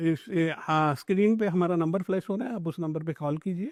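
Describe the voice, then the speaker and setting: A high-pitched man in a very clean recording against a silent background. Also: dry, close sound with no echo. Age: 60s. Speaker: self-help program founder. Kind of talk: interview. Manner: halting.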